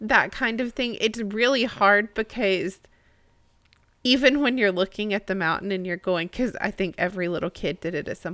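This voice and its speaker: At a moderate pace, a woman speaks in an unremarkable speaking voice, her pitch medium with ordinary variation. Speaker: co-host. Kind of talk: casual discussion podcast.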